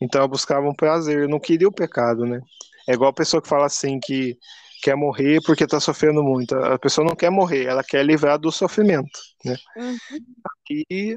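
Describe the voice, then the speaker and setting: A man with an unremarkable speaking voice, fairly high in pitch, talks at a moderate pace with ordinary pitch variation in a dry, close recording with no echo. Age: 30s. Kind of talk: casual faith interview.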